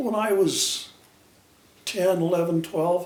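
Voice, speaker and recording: A man with an American accent speaks with ordinary pitch variation. There is audible room echo and noticeable background noise. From Utah, Salt Lake City. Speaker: retired brick mason. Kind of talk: family storytelling interview.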